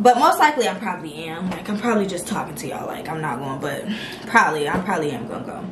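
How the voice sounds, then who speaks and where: Amid noticeable background noise, a woman talks at a very fast pace with big swings in loudness. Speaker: vlogger. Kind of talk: casual vlog chat. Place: home room. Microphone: camera far.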